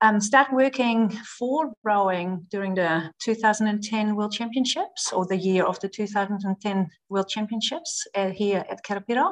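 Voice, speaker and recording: Speaking at a moderate pace with a Dutch accent, a woman uses a fairly high pitch with ordinary variation. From Netherlands. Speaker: performance nutritionist. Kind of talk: podcast interview. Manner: hesitant, many fillers.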